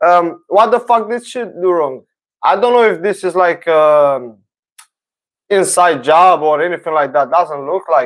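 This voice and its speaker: Over music in the background, a man with a non-native accent talks at a fairly slow pace in a high pitch with lively intonation. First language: not English. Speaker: talk show host. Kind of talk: casual livestream monologue. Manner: halting, many fillers. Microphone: own mic close by.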